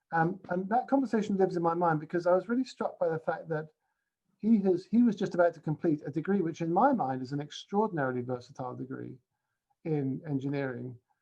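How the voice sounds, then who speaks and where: A man with a British accent speaks at a very fast pace. His voice is high-pitched, with a dark, mellow tone and lively intonation. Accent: non-Scottish British. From England. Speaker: university principal, speaker. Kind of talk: keynote talk. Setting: video call. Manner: halting, with many fillers.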